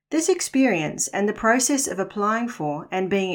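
A woman speaks with a New Zealand accent. The recording is very clean, with a silent background. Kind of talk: scripted narration.

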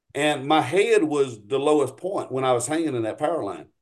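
Talking at a fairly quick pace, a man with a Louisiana accent uses a fairly high pitch and ordinary pitch variation. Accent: US South, Louisiana. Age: 40s. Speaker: paramotor pilot and flight instructor. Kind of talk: casual chat.

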